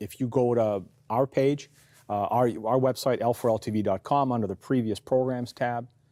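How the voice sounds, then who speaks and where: A man speaks at medium pitch and a moderate pace with a Canadian accent. His tone is dark and mellow, his intonation fairly even, and the sound dry and close with no echo. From Canada. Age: 60s. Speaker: pastor and TV host. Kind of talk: interview discussion. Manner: halting, many fillers.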